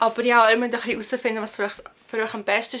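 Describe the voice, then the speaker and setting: On a very clean recording with a silent background, a woman with a Swiss accent speaks in a fairly high pitch with a bright, sharp tone. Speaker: university student. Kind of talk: casual talk to camera.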